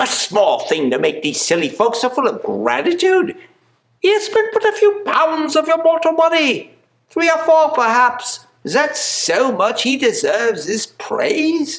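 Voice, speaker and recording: This is a squeaky, put-on character voice. It moves along at a moderate pace. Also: man, extremely high pitch for a man. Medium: stage play.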